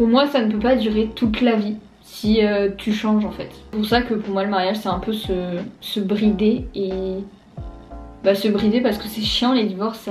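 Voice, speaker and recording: A woman's medium-pitched voice, fairly even in intonation and fairly slow, with music in the background. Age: 20s. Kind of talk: casual vlog talk to camera. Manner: informal, chatty.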